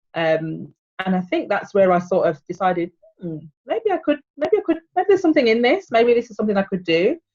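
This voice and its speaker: At a fairly quick pace, a woman with a slight Birmingham accent speaks fairly high in pitch, with very wide pitch swings. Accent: slight Birmingham (Brummie). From England, Birmingham. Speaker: PR manager. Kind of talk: casual interview chat.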